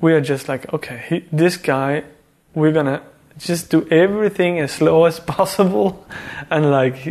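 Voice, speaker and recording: With a Swedish accent and noticeable background noise behind him, a man speaks at a fairly high pitch, moderate pace and ordinary pitch variation. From Sweden (Värmland). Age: 30s. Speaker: artist. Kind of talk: casual chat.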